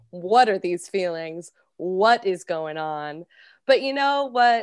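With a General American accent, a woman with a plain, everyday voice speaks at a fairly slow pace and medium pitch with lively intonation, over a quiet background. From US, Colorado. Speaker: actress and fitness instructor. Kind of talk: casual interview chat.

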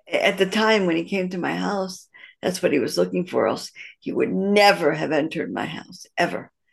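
A woman with a Midwestern American accent talks at a moderate pace. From US Midwest, Detroit. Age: 60s. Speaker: matchmaker. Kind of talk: interview. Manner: halting, many fillers and restarts.

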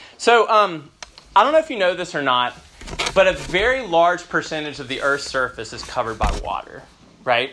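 Against noticeable background noise, a man speaks at a moderate pace in a high voice with very wide pitch swings. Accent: American. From US South, Memphis, Tennessee. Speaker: pastor. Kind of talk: sermon.

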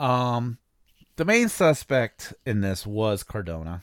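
In an American accent, a man with a medium pitch speaks at a very slow pace with very wide pitch swings, the recording very clean with a silent background and a dry, close sound with no echo. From US Midwest, East Chicago, Indiana. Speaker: podcast host. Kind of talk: true crime storytelling monologue. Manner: casual, many fillers.

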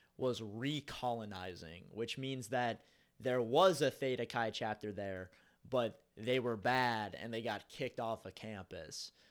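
A man with an American accent talks at a fairly slow pace. His is a plain, everyday voice, medium in pitch. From US Midwest, Cincinnati, Ohio. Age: 20s. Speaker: warehouse dock manager. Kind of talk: casual chat.

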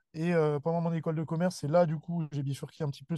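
The man's voice is dark, mellow and somewhat breathy. The sound is dry and close with no echo, over a quiet background. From Paris region, Seine-et-Marne. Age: 20s. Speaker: weightlifting coach and gym founder. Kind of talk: casual interview chat.

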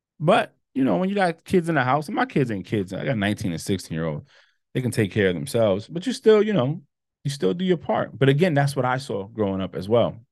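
The speaker rattles along at a very fast pace with vocal fry. Very wide pitch swings stand out against a quiet background. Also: man, medium pitch for a man. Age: 40s. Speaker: podcast host. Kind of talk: personal monologue. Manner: halting.

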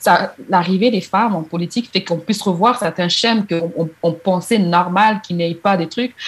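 Speaking at a moderate pace with hardly any pauses, a woman uses a medium pitch and ordinary pitch variation. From DR Congo. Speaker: activist. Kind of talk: interview. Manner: halting.

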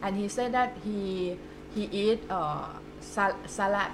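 A woman speaks at medium pitch in a Thai accent. Noticeable background noise is present. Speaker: podcast host. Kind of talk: casual interview.

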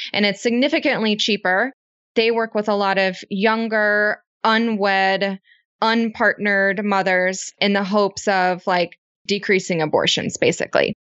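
The woman speaks in a normal speaking voice at medium pitch and a moderate pace. Her loudness is very even and her intonation fairly even. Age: 20s. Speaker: business co-founder. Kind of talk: interview conversation.

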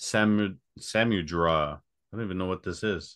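With an unremarkable speaking voice, a man speaks at a fairly low pitch and ordinary pitch variation, the background quiet. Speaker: podcast host. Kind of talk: casual interview.

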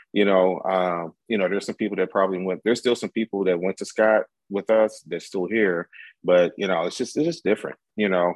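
A man talks at a fairly quick pace with fairly even intonation. His pitch is very deep and low. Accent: American. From US military bases, St. Louis area and Germany. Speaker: college professor. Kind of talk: casual chat.

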